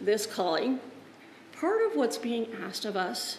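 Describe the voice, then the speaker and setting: A woman speaks at a very slow pace with very wide pitch swings. The room echo is audible, and there is light background noise. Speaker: Lutheran pastor. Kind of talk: sermon. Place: church.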